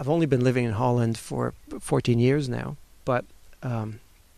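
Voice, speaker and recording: The man's pitch is medium, with ordinary variation. He keeps a moderate pace. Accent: French. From France and Switzerland. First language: French. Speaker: webcomic artist. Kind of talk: interview. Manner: halting.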